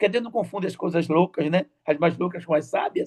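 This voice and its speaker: The recording is dry and close with no echo as a man with a high pitch talks at a very fast pace. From Brazil, Recife, Pernambuco. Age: 60s. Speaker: church deacon. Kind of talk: testimony. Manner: halting, repeats words.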